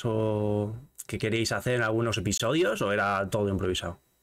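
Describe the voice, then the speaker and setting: Against a quiet background, a man delivers his words at a moderate pace. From Spain. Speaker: gaming streamer and interview host; gaming streamer, interview host. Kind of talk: casual interview chat. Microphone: studio mic.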